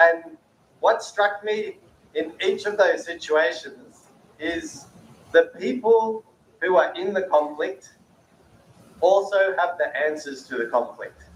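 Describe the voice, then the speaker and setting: With an Australian accent, a man of high pitch uses lively intonation. He speaks at a very slow pace with long, frequent pauses. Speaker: peace-building speaker. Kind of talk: panel talk.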